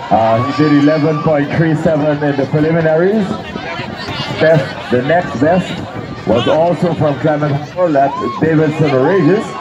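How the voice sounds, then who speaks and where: Noticeable background noise is present. The speech moves at a very slow pace. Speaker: track meet announcer. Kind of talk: live sports commentary. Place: stadium.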